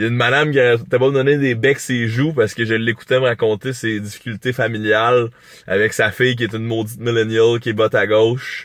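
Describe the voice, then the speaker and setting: A man with a Quebec accent at a very fast pace. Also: medium pitch for a man. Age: young. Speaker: YouTuber. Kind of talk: vlog monologue. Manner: animated.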